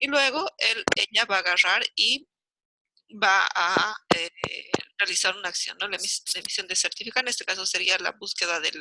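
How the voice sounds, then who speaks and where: A woman at a medium pitch speaks at a moderate pace with lively intonation, the sound dry and close with no echo. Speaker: university lecturer. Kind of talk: lecture. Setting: video call. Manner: animated.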